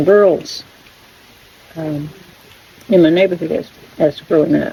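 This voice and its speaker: Noticeable background noise sits behind the voice. A woman speaks with a North Carolina accent. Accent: rural US Southern (North Carolina). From North Carolina, rural Stokes County. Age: 60s. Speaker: backyard chicken vlogger. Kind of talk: casual vlog chat. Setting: front porch.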